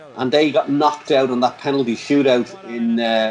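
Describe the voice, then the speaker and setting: This speaker has an Irish accent and ordinary pitch variation. Noticeable background noise is present. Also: man. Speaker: handball commentator. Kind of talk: casual chat. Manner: fast; animated.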